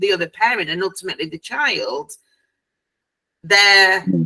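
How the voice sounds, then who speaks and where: The speaker is a woman. She has a British accent. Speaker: family court support platform founder. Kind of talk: interview questions to a guest. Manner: conversational, hesitant.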